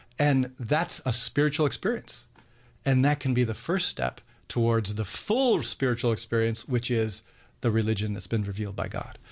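Somewhat breathy and with an American accent, the speaker moves at a moderate pace with ordinary pitch variation over a quiet background. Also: man, medium pitch for a man. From US Midwest, Cleveland. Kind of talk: radio interview.

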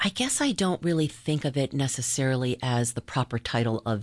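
With an American accent, a woman speaks at a moderate pace in a very deep, low pitch with lively intonation. The sound is dry and close with no echo, and the background is quiet. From US South, Charleston, South Carolina. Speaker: parishioner, coffee house owner. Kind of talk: testimony.

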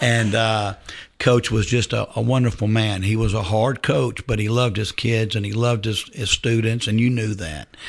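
A man speaks at a moderate pace in a somewhat breathy voice. His intonation stays fairly even against a quiet background. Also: medium pitch for a man. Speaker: high school football coach. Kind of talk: radio interview.

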